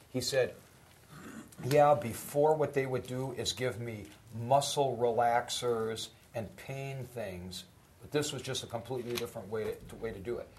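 Over audible room echo, a man speaks fairly slowly at medium pitch, his somewhat breathy voice fairly even in intonation but with big swings in loudness. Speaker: college professor. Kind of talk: lecture.

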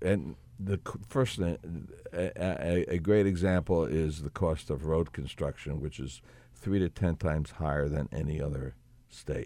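A man with a New Jersey accent speaks at a fairly slow pace. His voice is very deep and low, with a dark, mellow tone. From New Jersey, Elizabeth. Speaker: state senator and political candidate. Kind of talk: radio interview. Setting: radio studio.

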